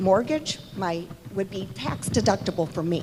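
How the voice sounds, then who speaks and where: Loud and at a moderate pace, a woman speaks at medium pitch over noticeable background noise. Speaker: homeowner speaking at meeting. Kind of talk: public comment at town hall meeting. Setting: town hall meeting in church hall.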